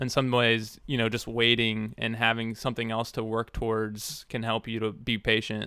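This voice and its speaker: This man uses a normal speaking voice, keeping a medium pitch and a moderate pace. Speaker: podcast co-host. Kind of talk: casual chat. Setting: studio.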